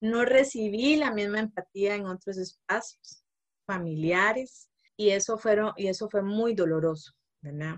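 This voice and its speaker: Here a woman talks at a medium pitch and a fairly slow pace, with ordinary pitch variation. It is an ordinary speaking voice. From Costa Rica, Guanacaste. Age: 30s. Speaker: social anthropologist, mother. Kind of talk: interview conversation.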